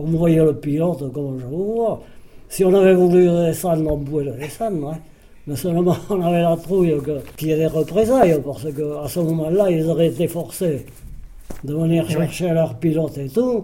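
This man has a dark, mellow tone. His pitch sits fairly high for a man. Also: ordinary pitch variation, moderate pace. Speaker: war veteran, former resistance fighter. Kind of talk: testimony.

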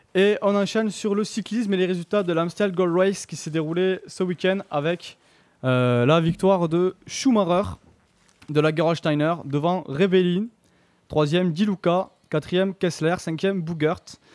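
Ordinary pitch variation runs through a man's speech, delivered at a fairly slow pace. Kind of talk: live radio sports show host patter, briskly reading scores and news. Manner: brisk, upbeat, businesslike delivery.

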